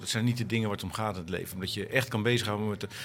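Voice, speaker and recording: A man speaks with fairly even intonation at a fairly low pitch. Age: middle-aged. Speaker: organisation consultant, former cycling commentator. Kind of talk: panel discussion. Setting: live event at a festival. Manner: halting.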